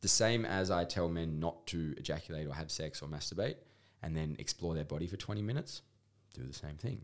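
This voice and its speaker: At a fairly quick pace, a man with a strong Australian accent speaks in a very deep, low pitch with ordinary pitch variation. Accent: broad Australian. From rural Australia. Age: 30s. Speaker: intimacy coach. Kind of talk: podcast interview.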